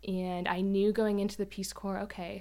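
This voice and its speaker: In an American accent, a woman with a medium pitch talks at a moderate pace in an ordinary speaking voice. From US South, northeast Florida (Jacksonville). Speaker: former Peace Corps volunteer, church plant member. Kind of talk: casual interview, faith testimony.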